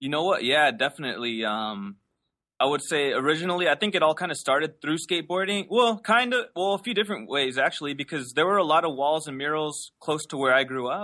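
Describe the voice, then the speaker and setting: Someone with an American accent talks at a very fast pace with lively intonation. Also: man, fairly high pitch for a man. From Los Angeles, US. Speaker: painter. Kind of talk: casual interview. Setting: video call from his studio.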